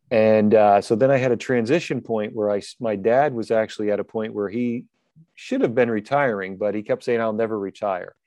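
A man with an American accent has an ordinary speaking voice, a fairly quick pace and fairly even intonation. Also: medium pitch for a man. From US Northeast (New Jersey). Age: 60s. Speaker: coaching session participant. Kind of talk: casual chat.

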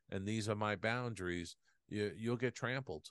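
The man has an American accent. His pitch is fairly low. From New York (Queens). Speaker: former visual effects supervisor and author. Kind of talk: interview conversation. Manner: halting, many fillers.

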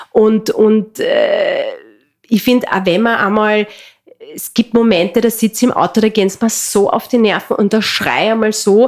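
A woman's fairly high voice with a Carinthian accent, at a moderate pace and with fairly even intonation. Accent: Carinthian Austrian German. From Austria, Carinthia. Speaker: entrepreneur and mother. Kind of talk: casual interview. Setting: in person at guest's home region. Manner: hesitant, many fillers.

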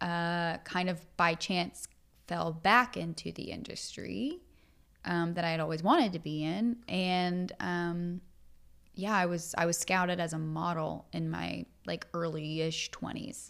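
A woman's fairly low voice at a very slow pace with fairly even intonation, in a very clean recording with a silent background. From East Tennessee, Appalachia. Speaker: sobriety podcaster and Instagram creator. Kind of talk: casual interview chat. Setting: in person, Nashville.

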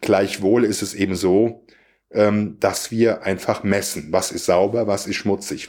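In a very clean recording with a silent background, a man talks at a moderate pace in an ordinary speaking voice, with a fairly low pitch and fairly even intonation. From Siegerland, western Germany. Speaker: podcast guest. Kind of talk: casual philosophical conversation.

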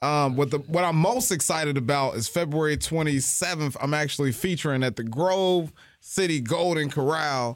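On a very clean recording with a silent background, a man with a fairly high pitch uses an ordinary speaking voice at a moderate pace, with ordinary pitch variation. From Ohio, Cincinnati. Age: 30s. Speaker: stand-up comedian. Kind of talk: casual chat.

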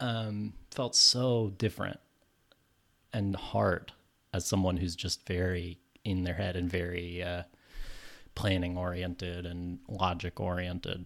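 A man's very deep, low voice at a fairly slow pace, with fairly even intonation, long, frequent pauses and a very clean recording over a silent background. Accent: American. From California. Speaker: screenwriter and filmmaker. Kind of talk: casual interview.

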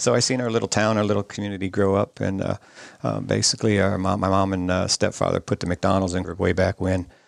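At a very fast pace, a man talks with vocal fry at a fairly low pitch. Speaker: nonprofit president, environmental advocate. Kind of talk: casual interview chat. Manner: passionate, gets excited.

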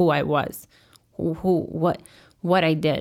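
A woman with an American accent speaks at a moderate pace in a very deep, low voice, with vocal fry and fairly even intonation. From Chicago, raised from age five. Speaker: guest sharing immigrant life story. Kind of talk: interview, personal story.

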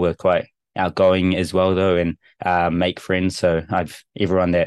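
A man with a New Zealand accent speaks in a very deep, low voice with monotone, flat intonation, his sound dry and close with no echo against a quiet background. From New Zealand, Rotorua. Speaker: rugby team translator. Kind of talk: casual interview. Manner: hesitant, many fillers.

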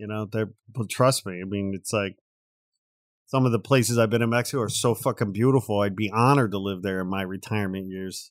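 With an animated tone and a fairly low pitch, a man races along at a very fast pace in a very clean recording with a silent background. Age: 50s. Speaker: podcast host. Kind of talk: casual chat. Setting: studio. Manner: animated, jokey.

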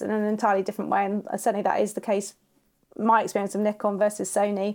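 Very fast speech in a southern English accent, on a very clean recording with a silent background. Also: woman. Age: 40s. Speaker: wedding and boudoir photographer. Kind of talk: interview conversation.

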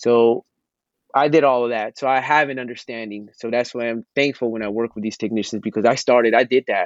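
At a fairly quick pace, a man with a normal speaking voice talks with medium pitch and fairly even intonation. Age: 30s. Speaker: pharmacist. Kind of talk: casual chat; motivational talk. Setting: outdoors.

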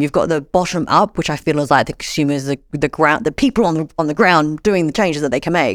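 A woman talks very fast in an Australian accent. The recording is very clean with a silent background, dry and close with no echo. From Australia, Sydney. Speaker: social enterprise founder. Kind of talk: interview.

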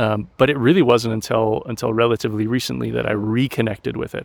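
This is a man with an ordinary speaking voice, medium in pitch, talking at a moderate pace. The recording is very clean, with a silent background. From US, Colorado mountains. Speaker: social scientist and educator. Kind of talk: casual interview. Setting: outdoors in a park.

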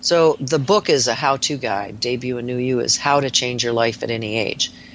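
Over noticeable background noise, a woman with a very deep, low pitch speaks at a moderate pace with ordinary pitch variation. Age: 60s. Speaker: nurse practitioner. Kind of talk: interview. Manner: animated.

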